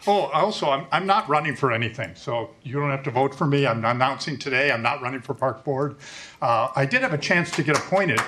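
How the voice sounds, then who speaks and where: With noticeable background noise, a man talks at a fairly quick pace in a fairly high pitch with ordinary pitch variation. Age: 60s. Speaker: resident speaking at public comment. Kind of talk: public comment at a board meeting. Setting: public meeting room. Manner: casual, joking.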